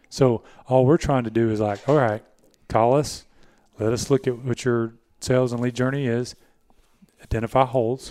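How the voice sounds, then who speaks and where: A man speaks with fairly even intonation and long, frequent pauses. The recording is very clean, with a silent background. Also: medium pitch for a man, moderate pace. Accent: Southern US. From US South, Georgia. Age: 50s. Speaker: podcast host, marketing agency owner. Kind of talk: casual chat.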